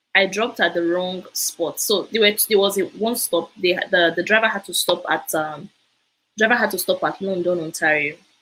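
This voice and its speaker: A woman with a Nigerian accent, medium in pitch, animated and bright, sharp in tone, at a moderate pace. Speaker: immigration info presenter. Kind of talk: live stream talk. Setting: live broadcast.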